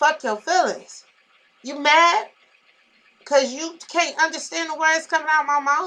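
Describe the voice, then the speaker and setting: A woman speaks in a raised, projected voice with a high pitch and a bright, sharp tone, talking at a fairly slow pace with fairly even intonation and long, frequent pauses. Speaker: vlogger. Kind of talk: casual vlog venting. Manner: loud; sounds like yelling when irritated.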